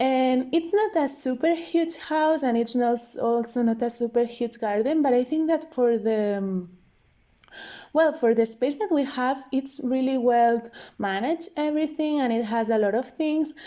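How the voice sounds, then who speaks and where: With a non-native accent, a woman speaks at a moderate pace in a high pitch with ordinary variation. Her tone is dark and mellow, and the recording is very clean with a silent background. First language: not English. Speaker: video game content creator. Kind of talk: voiceover commentary. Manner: casual, hesitant.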